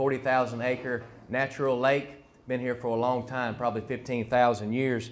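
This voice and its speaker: A man speaks at a moderate pace. His pitch sits in the middle range. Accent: North Carolina. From US South, North Carolina (Harnett County). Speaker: fisheries biologist. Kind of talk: public presentation. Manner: hesitant with frequent fillers.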